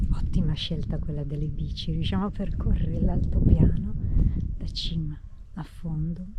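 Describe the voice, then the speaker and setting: A woman's voice with long, frequent pauses, audible room echo and noticeable background noise. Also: moderate pace. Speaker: travel vlogger. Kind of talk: travel vlog commentary. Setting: outdoors. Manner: speaking quietly.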